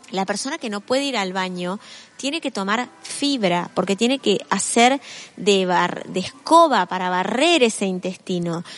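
In a Rioplatense accent, a woman with a medium pitch speaks at a fairly slow pace with lively intonation over noticeable background noise. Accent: Argentine Rioplatense Spanish. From Argentina. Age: 50s. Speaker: author and motivational speaker. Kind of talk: interview.

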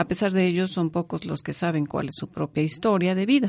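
Over a quiet background, a woman speaks at a fairly low pitch in a dark, mellow tone with fairly even intonation. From Mexico. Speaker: radio co-host. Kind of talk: casual chat; scripted narration.

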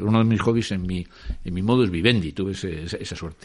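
A man with a fairly low pitch, talking at a very fast pace. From Spain, Madrid. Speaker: former record industry executive. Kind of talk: interview. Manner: halting, with many repetitions.

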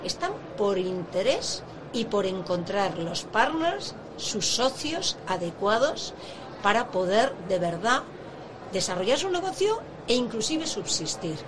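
A woman at a medium pitch, very wide pitch swings and a very slow pace, with audible room echo and noticeable background noise. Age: 60s. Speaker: entrepreneur, event founder. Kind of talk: interview.

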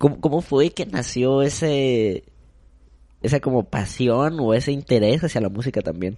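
Speaking at a fairly slow pace, a man with a medium pitch and a dark, mellow tone uses lively intonation. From Mexico, Acapulco. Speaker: marketing professional. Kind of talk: casual chat.

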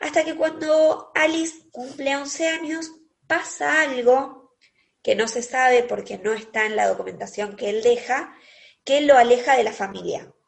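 Fairly slow in pace, a woman with a high pitch speaks with ordinary pitch variation. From Argentina, Quilmes (Buenos Aires). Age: 30s. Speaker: podcast co-host. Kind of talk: casual chat.

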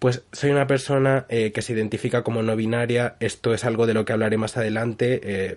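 With mostly level intonation, the talking proceeds at a somewhat brisk clip. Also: man. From Spain. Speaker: podcaster. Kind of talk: casual monologue.

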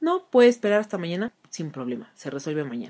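Her delivery comes at a fairly quick pace. A woman with a plain, everyday voice speaks at a fairly low pitch. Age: 30s. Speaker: podcast host and journalist. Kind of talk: solo monologue.

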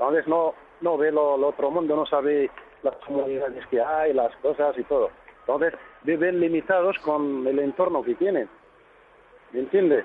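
Pausing long and often, a man talks in a fairly high voice with fairly even intonation and very even loudness. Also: moderate pace. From Morocco, High Atlas. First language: Berber (Tamazight) (speaking Spanish). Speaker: tour guide. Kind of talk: radio interview. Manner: halting.

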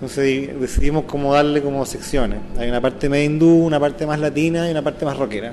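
Against noticeable background noise, a man speaks in a fairly high voice with fairly even intonation. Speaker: saxophonist and clarinetist in a band. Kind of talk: interview. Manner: halting, many fillers and repetitions.

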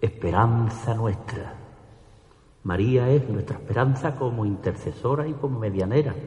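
A man with a medium pitch speaks in a solemn tone at a fairly slow pace, with ordinary pitch variation and noticeable background noise. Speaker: ceremonial orator. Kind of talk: ceremonial oratory: solemn, devout pregón addressed to the Virgin and the congregation. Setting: church with audience. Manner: formal, solemn and fervent, measured pace with reverent, emotional delivery.

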